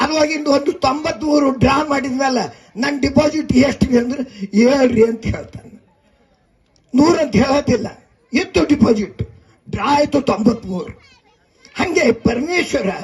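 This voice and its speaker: A man speaks with an extremely high pitch. His pitch variation is ordinary. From Bidar district, North Karnataka. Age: 90s. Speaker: veteran journalist and newspaper editor. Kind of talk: public speech.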